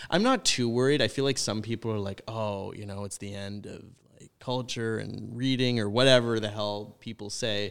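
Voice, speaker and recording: In a Canadian accent, a man with a normal speaking voice talks at a moderate pace and medium pitch with fairly even intonation and big swings in loudness, on a very clean recording with a silent background. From British Columbia, Canada. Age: 20s. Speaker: university student. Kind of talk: casual chat. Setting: studio.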